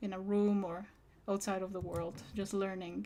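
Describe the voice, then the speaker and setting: Speaking at a moderate pace, a woman with a plain, everyday voice uses a medium pitch and ordinary pitch variation. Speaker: digital artist. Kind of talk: casual live-stream talk while drawing.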